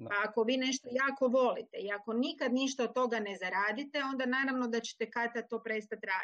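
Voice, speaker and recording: Fairly quick and fairly high in pitch, a woman talks with ordinary pitch variation. Hers is an ordinary speaking voice. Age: 50s. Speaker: book blogger. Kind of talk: interview. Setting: livestream.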